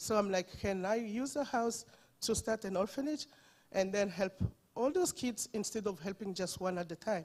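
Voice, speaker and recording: With lively intonation, a woman speaks in a strong French accent. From Democratic Republic of Congo. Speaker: orphanage founder. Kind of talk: testimony.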